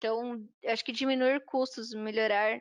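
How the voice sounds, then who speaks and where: Recorded dry and close with no echo against a quiet background, a woman with an unremarkable speaking voice talks at a fairly high pitch with ordinary pitch variation. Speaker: software trainer. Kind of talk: online workshop lecture.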